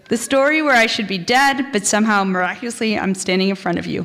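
With an American accent, a woman talks at a moderate pace in a fairly high pitch, her voice swinging very widely in pitch over noticeable background noise. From Texas. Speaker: storyteller. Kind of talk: live storytelling.

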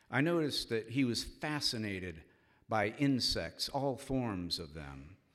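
A man with an American accent and a medium pitch, fairly slow, with very wide pitch swings, on a very clean recording with a silent background. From Cincinnati, Ohio. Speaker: storyteller. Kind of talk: live storytelling. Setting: stage with audience in a church.

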